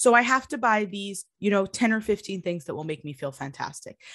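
A woman with an unremarkable speaking voice, a medium pitch and a fairly quick pace, over a quiet background. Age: 20s. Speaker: fashion designer and business founder. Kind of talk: interview.

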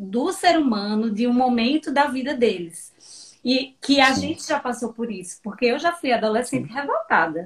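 At a moderate pace and with hardly any pauses, a woman speaks in a high voice. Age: 40s. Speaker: digital education mentor. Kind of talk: casual interview. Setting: live video stream.

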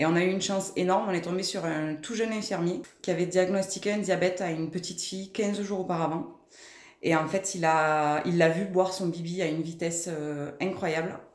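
The speaker goes at a fairly quick pace with fairly even intonation. Audible room echo surrounds the voice. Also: woman, fairly low pitch for a woman. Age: 30s. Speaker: mother of a diabetic child. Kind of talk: testimony. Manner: hesitant, many filler sounds.

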